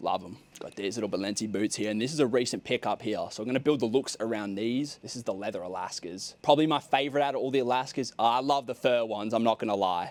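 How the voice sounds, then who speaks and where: With an Australian accent, a man speaks in an animated tone at a fairly quick pace, his medium pitch showing ordinary variation, on a very clean recording with a silent background. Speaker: content creator, clothing brand founder. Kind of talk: casual vlog. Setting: outdoors.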